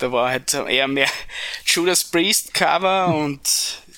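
A man's normal speaking voice, fairly high in pitch, at a fairly slow pace with fairly even intonation. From Upper Styria, Austria. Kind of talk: casual interview chat.

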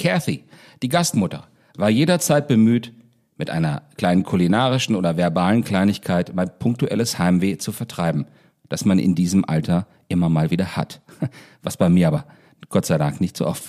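With a very deep, low pitch and a dark, mellow tone, a man talks at a moderate pace, using lively intonation and long, frequent pauses. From northern Hesse, Germany. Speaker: singer-songwriter and podcast host. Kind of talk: personal storytelling monologue. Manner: formal.

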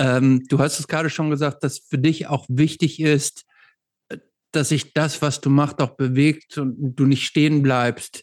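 On a very clean recording with a silent background and a dry, close sound with no echo, a man talks fairly slowly at a fairly high pitch with ordinary pitch variation. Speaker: podcast host. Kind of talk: casual interview.

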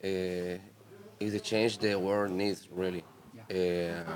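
A man with a Spanish accent speaks very slowly in a fairly low pitch. His intonation stays fairly even. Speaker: punk rock musician. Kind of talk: casual interview. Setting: festival radio studio. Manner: halting.

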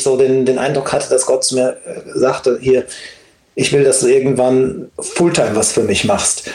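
Audible room echo surrounds a man as he speaks. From Germany, Siegen. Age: 40s. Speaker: worship leader. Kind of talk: casual chat.

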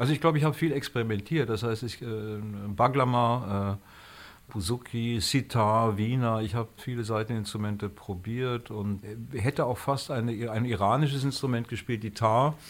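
A man talks at a medium pitch and a moderate pace. His pitch varies in an ordinary way. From Frankfurt, Germany. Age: 60s. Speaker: musician. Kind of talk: interview. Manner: modest, reserved.

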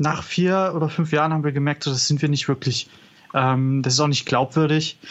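A man with an ordinary speaking voice, fairly high pitch, fairly even intonation, very even loudness and a moderate pace. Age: 20s. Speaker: rock singer and guitarist. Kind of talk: interview.

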